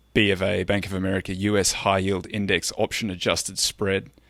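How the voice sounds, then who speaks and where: At a moderate pace, a man speaks in a fairly low voice with a bright, sharp tone, recorded dry and close with no echo. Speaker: podcast host, investor. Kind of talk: casual chat.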